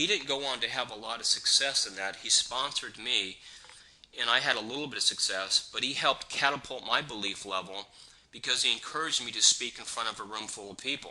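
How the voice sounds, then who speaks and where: A man's loudness swings widely over noticeable background noise. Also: medium pitch for a man, ordinary pitch variation, fairly quick pace. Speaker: network marketing trainer. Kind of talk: training seminar talk. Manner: fast.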